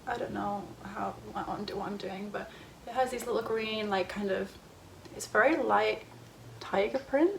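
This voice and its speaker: A woman talks with long, frequent pauses. There is noticeable background noise. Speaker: YouTuber. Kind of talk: casual haul video. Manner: fast; animated.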